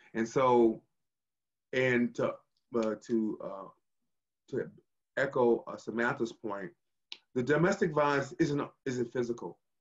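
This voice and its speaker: Against a quiet background, a man talks at a fairly slow pace with ordinary pitch variation and long, frequent pauses. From US West Coast. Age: 60s. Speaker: physician assistant; panelist. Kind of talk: guest talk in a panel discussion. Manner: hesitant, many filler sounds. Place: home room. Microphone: video call.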